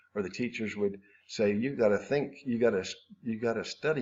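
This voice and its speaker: Pitch varies in an ordinary way as a man talks at a moderate speed. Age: 60s. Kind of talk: interview answer. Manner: hesitant, halting.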